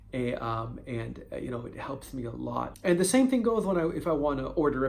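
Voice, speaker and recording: A man at a moderate pace with audible room echo. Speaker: video blogger on stuttering. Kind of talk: personal vlog monologue. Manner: stutter; halting, with fillers and repetitions.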